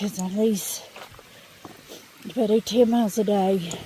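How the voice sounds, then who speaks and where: Speaking at a fairly slow pace with an American accent and ordinary pitch variation, this voice comes through over noticeable background noise. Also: woman. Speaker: hiker vlogger. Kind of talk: casual vlog narration. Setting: outdoors on a hiking trail.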